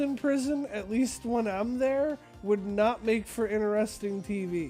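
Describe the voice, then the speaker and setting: Music plays in the background as the voice moves at a fairly slow pace. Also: man. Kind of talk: casual gaming stream talk. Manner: casual, profane.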